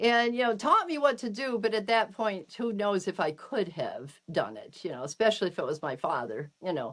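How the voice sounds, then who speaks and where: A woman at medium pitch speaks at a moderate pace with hardly any pauses, her tone animated, her pitch swinging very widely, and vocal fry in her voice. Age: 70s. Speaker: cryonics movement veteran. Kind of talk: interview. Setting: podcast.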